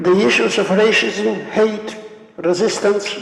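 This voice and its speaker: A man with a strong Polish accent speaking very slowly amid noticeable background noise and audible room echo. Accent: Polish, heavy. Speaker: Holocaust survivor speaker. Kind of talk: lecture. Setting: stage with audience. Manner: halting.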